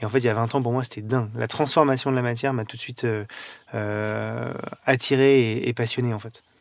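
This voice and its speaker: A man's medium-pitched, monotone delivery with flat intonation at a fairly quick pace. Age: 30s. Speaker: pastry chef. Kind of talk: interview. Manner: hesitant, with fillers.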